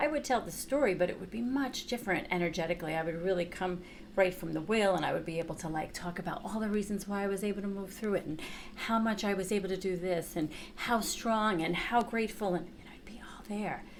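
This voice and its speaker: Over noticeable background noise, a woman talks at a very fast pace with a New York accent and big swings in loudness. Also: medium pitch for a woman, ordinary pitch variation. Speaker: chakra teacher and therapist. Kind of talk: workshop teaching. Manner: casual, conversational.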